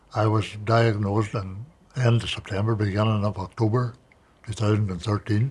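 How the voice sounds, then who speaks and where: In a Northern Irish accent, the voice moves at a fairly quick pace with monotone, flat intonation. It sounds somewhat breathy. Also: man. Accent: Northern Irish (Tyrone). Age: 70s. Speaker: farmer and cancer survivor. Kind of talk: interview testimony. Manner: halting.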